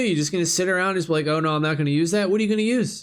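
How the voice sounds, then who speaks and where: A man shouting, loud and animated in tone, on a very clean recording with a silent background. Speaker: bitcoin video creator. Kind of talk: casual monologue screen walkthrough. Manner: loud, yelling.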